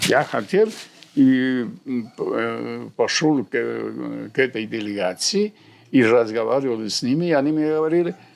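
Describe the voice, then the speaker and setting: Speaking with a Central American accent, a man talks at a fairly slow pace with long, frequent pauses. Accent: Spanish (Central American) accent in Russian. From Honduras. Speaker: surgeon and university lecturer. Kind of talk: interview answer.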